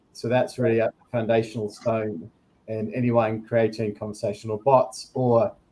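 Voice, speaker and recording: A man with a New Zealand accent speaks at a moderate pace in a medium pitch, his dark, mellow tone somewhat breathy and his intonation monotone and flat. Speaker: product director at a tech company. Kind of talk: panel discussion.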